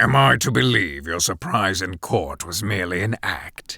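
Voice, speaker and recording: Putting on a character voice, a man drops to a very deep, low pitch. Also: moderate pace, lively intonation. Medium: audio drama. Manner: suspicious, sharp.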